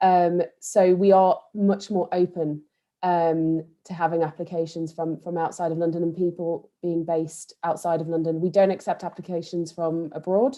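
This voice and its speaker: At a moderate pace, a woman talks with a fairly low pitch and monotone, flat intonation. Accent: East Midlands. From Nottingham, England. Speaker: think tank staff member. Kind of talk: panel discussion. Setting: online video event.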